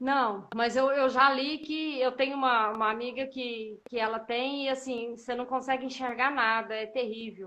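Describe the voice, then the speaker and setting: A woman speaks at a high pitch with fairly even intonation. She keeps a moderate pace with hardly any pauses. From Brazil, Minas Gerais (Uberlândia, Triângulo Mineiro). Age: 40s. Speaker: mother of a child with a rare disease. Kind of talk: interview testimony.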